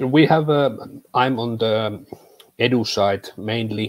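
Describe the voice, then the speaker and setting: A man with a Finnish accent speaks at a fairly slow pace. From Finland. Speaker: tech content creator. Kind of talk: interview. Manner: halting.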